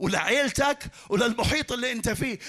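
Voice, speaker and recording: In a raised, projected voice, a man speaks with ordinary pitch variation. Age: 50s. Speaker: pastor. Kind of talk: sermon.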